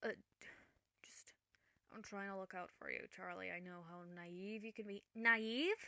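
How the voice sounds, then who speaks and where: Raspy and delivered at a moderate pace, this put-on character voice is broken up by long, frequent pauses. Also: female-sounding voice, medium pitch for a woman. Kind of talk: ASMR roleplay audio.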